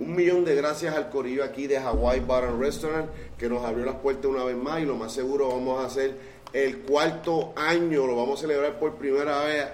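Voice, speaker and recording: Through noticeable background noise and audible room echo, a man with a fairly high voice talks at a moderate pace with fairly even intonation. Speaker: podcast host. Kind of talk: casual interview. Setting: restaurant.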